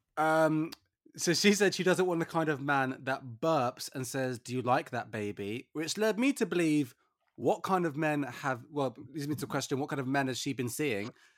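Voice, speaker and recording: With a plain, everyday voice, the speaker talks at a moderate pace with lively intonation. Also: man, fairly high pitch for a man. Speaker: podcast host. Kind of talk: casual chat. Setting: remote recording from isolation.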